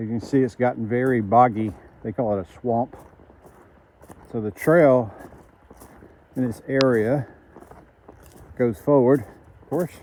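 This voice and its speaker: The speech has long, frequent pauses. Noticeable background noise runs underneath. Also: fairly slow pace. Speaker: long-distance hiker vlogger. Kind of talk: casual vlog narration. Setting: outdoors on a hiking trail. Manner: hesitant with many fillers; loud, raised voice over creek.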